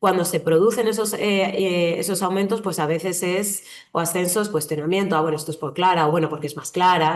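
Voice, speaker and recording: In a southern Madrid accent, a woman speaks very fast at a fairly low pitch with ordinary pitch variation. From southern Madrid, Spain. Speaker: journalist and writer. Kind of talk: online training talk. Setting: online session. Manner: conversational with hesitations.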